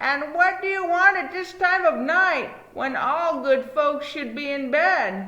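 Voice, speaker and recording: Doing a put-on character voice, a woman speaks in a high pitch at a fairly slow pace with lively intonation. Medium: read story. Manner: frightened, calling out.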